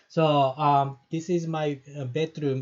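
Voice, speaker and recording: A man with a Japanese accent at a very slow pace, against a quiet background. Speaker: professor. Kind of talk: lecture. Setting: online live-streamed class from home bedroom. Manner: halting, many fillers. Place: home room. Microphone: earbuds.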